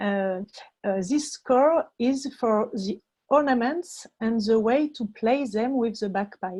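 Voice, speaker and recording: A woman with a French accent, fairly high-pitched and dark, mellow in tone, at a very slow pace with ordinary pitch variation. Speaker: music education researcher. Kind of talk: conference presentation. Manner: halting.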